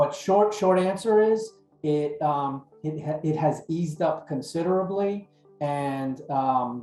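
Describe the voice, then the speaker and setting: A man with a New York accent speaks at a fairly high pitch with ordinary pitch variation. Music plays in the background. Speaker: dental supply consultant. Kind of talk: webinar presentation.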